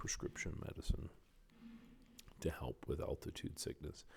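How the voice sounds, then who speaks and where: The speaker, a man, is whispering. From Canada. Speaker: oral and maxillofacial surgeon. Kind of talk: casual podcast talk, travel recollection. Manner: whispered.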